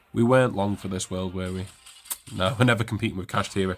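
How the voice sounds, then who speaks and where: There is noticeable background noise. Over it, a man talks at a very fast pace with a fairly low pitch. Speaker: video game streamer. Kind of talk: gameplay commentary. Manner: fast-paced.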